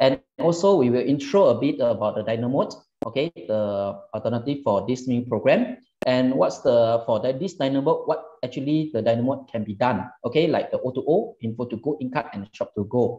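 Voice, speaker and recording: A man with a dark, mellow tone speaks at a moderate pace with ordinary pitch variation against a quiet background. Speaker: presenter. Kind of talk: webinar presentation. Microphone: webcam.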